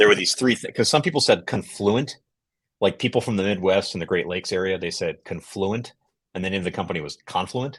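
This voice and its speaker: This man has an ordinary speaking voice and an American accent, with a fairly low pitch. He talks at a fairly quick pace over a quiet background. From United States. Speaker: developer relations lead, tech educator. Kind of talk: technical explanation on livestream. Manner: conversational, explanatory.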